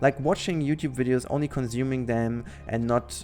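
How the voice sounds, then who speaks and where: Over music in the background, a man with a German accent talks at a fairly quick pace, his medium pitch moving with lively intonation. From western Germany. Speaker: gaming YouTuber. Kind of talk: casual monologue, podcast-style channel update. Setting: home recording over gameplay. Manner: halting, with many fillers and restarts.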